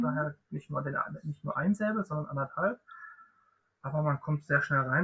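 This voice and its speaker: The man's tone is bright and sharp. His voice is heard dry and close, without echo. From southern Germany. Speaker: board game podcast host. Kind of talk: casual chat.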